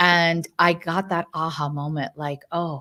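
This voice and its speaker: On a very clean recording with a silent background, a woman with an American accent talks in a fairly low pitch. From United States. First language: not English. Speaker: neurologist. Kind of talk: podcast interview. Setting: live stream.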